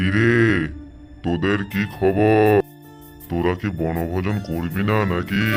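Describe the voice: A man performs a cartoonish character voice at a fairly slow pace. Music plays clearly in the background. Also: fairly low pitch for a man.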